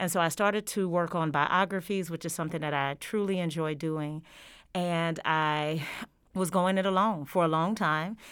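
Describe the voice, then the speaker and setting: A woman's normal speaking voice, fairly low, with an American accent, fairly even intonation and a moderate pace, on a very clean recording with a silent background. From Georgia, US South. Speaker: history professor. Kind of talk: interview. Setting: studio on campus.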